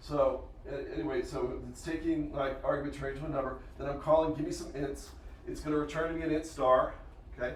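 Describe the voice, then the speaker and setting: A man's very fast speech comes through noticeable background noise and audible room echo. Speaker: university professor. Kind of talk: lecture.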